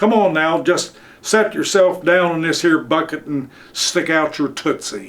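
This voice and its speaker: His pitch sits high. A man is doing a put-on character voice. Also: moderate pace, ordinary pitch variation. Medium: read story. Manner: folksy, friendly.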